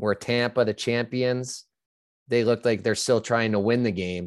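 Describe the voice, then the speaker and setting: The speaker has an American accent and a moderate pace with monotone, flat intonation. The recording is very clean, with a silent background. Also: man. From upstate New York. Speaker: former hockey player and betting analyst. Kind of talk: casual interview.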